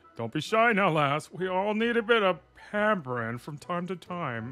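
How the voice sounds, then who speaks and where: Faint music plays behind a man doing a put-on character voice, high in pitch with very wide swings, at a moderate pace. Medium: role play.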